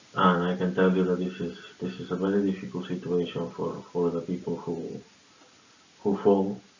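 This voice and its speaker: A man with a very deep, low voice speaks at a moderate pace in a flat monotone. Noticeable background noise runs underneath. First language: not English. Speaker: fraud prevention worker sharing tips. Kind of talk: informal awareness talk to camera. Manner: halting, many fillers and repetitions.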